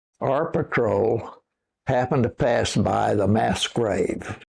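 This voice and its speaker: With an American accent, a man speaks very slowly at a medium pitch, his dark, mellow tone marked by vocal fry. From Oklahoma, Osage County. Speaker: war veteran. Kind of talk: oral history interview. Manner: halting, with repetitions.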